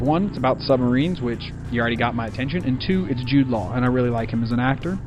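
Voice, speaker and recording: A man speaks at a very fast pace and medium pitch, with audible room echo and music in the background. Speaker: movie review vlogger. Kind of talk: casual vlog review.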